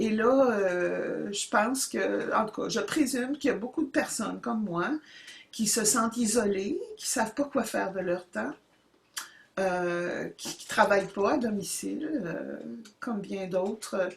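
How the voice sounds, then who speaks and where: Her loudness swings widely as a woman talks at a fairly slow pace over noticeable background noise. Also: medium pitch for a woman, ordinary pitch variation. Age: 70s. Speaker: YouTuber starting a channel. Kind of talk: casual monologue to camera. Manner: halting, many hesitations.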